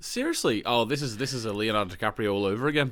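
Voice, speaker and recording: A man speaks very fast in an Australian accent. His medium pitch has ordinary variation. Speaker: podcast co-host; teacher. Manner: fast talker.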